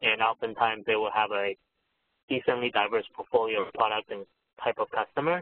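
A normal speaking voice, this man's runs at a fairly quick pace in a medium pitch with fairly even intonation. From US West Coast, San Francisco Bay Area (born in Taiwan, moved at 10). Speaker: venture capitalist. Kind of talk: interview.

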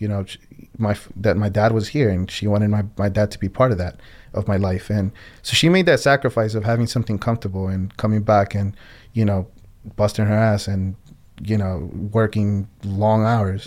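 A man with a fairly low pitch and fairly even intonation talks at a fairly quick pace in a very clean recording with a silent background. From Colombia-born, raised in US (New Jersey area). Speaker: Navy veteran. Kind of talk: interview conversation. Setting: on-location recording in Philadelphia. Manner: halting, frequent repetitions.

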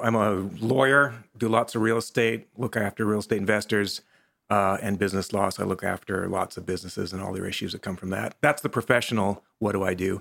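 A man with a normal speaking voice, a fairly low pitch, fairly even intonation and a fairly quick pace. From western Canada. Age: 50s. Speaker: lawyer and real estate investor. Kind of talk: casual interview. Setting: studio.

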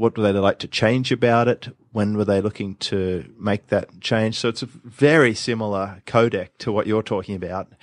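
A man has an unremarkable speaking voice with a fairly low pitch. He keeps a moderate pace and fairly even intonation. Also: dry, close sound with no echo. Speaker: podcast host, marketing expert. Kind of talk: casual chat, podcast conversation. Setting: remote recording, host in Sydney.

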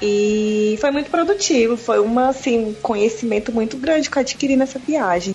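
Amid noticeable background noise, a woman talks at a fairly quick pace with hardly any pauses, her fairly high voice full of lively intonation. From Brazil, Brasília. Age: 30s. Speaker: physiotherapist and traveler. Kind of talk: casual chat.

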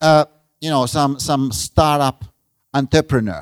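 A man with a Finnish accent speaks at a moderate pace in a fairly high pitch, with ordinary pitch variation and a dry, close sound with no echo. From Finland. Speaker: professor. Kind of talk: lecture. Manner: halting.

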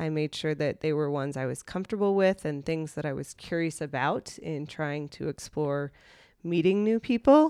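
The recording is very clean with a silent background, the sound dry and close with no echo, and the pitch varies in an ordinary way. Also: woman. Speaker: guest who met her husband through online dating. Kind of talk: casual interview chat.

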